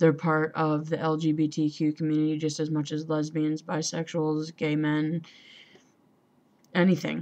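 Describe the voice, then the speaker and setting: A woman at a very deep, low pitch, monotone and flat, moderate in pace, over a quiet background. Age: 20s. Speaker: vlogger. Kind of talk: personal vlog. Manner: halting, many fillers.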